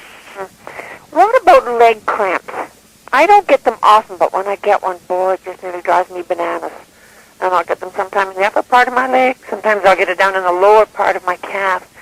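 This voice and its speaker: Noticeable background noise accompanies a fairly quick delivery. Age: 60s. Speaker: caller. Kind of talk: radio call-in question.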